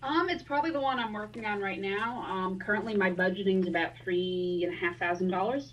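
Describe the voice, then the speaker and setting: Over noticeable background noise, a woman speaks at a fairly quick pace with hardly any pauses. Her medium-pitched voice has lively intonation. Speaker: cosplayer. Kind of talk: casual interview.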